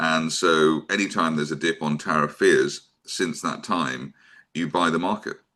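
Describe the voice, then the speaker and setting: Speaking at a fairly slow pace, a man with a very deep, low pitch keeps his intonation fairly even. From Scotland, Glasgow. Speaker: financial show host. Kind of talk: interview. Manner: hesitant, many fillers.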